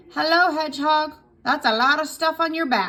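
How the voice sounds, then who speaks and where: Putting on a croaky character voice, a woman speaks high-pitched at a moderate pace. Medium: read story.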